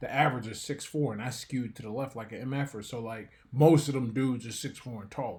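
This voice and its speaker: Speaking at a very fast pace, the voice is somewhat breathy with a dark, mellow tone. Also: man. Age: 40s. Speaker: professional boxer and author. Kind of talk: podcast interview.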